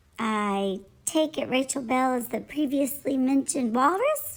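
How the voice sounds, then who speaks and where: A woman puts on a character voice at a high pitch. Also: moderate pace, ordinary pitch variation. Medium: read story. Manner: mock-formal.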